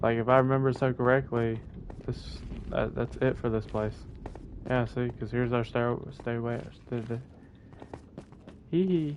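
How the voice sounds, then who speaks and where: Noticeable background noise is present. Through it, a man's voice sits at a medium pitch. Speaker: gaming streamer. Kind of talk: live gameplay commentary. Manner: fast, words get mixed up.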